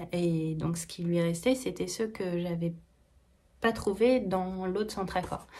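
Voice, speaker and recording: Speaking fairly slowly, a woman uses a medium pitch. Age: 30s. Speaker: knitting vlogger. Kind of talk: casual vlog chat. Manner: hesitant, many fillers.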